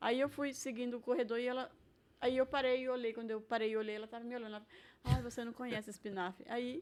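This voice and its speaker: Speaking at a very fast pace, a woman keeps her intonation fairly even. Her high voice shows big swings in loudness. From Brazil, Maranhão (São Luís). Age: 60s. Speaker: retired cook. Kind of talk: casual interview.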